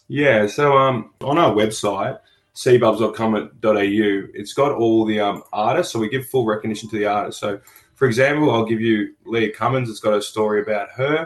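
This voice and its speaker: A man with an Australian accent, medium pitch, ordinary pitch variation and a moderate pace. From Melbourne, Australia. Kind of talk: radio interview. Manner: hesitant with many fillers.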